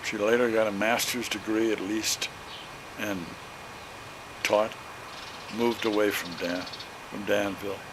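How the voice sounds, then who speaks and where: A man with a Midwestern US accent, fairly low pitch, and fairly slow pace, amid noticeable background noise and audible room echo. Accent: US Midwest. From Illinois. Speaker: elderly relative interviewed. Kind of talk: family reminiscence interview. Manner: halting.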